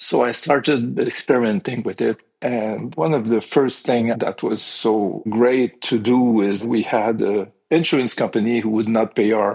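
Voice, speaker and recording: A man at medium pitch with a French accent, a fairly slow pace and fairly even intonation. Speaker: piano technician, business owner. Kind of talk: podcast interview.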